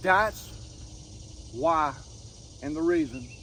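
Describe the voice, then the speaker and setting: This man talks at a moderate pace, his voice pitched fairly high. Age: 60s. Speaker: firewood seller and outdoors vlogger. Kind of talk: casual vlog talk to camera. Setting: outdoors. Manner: halting.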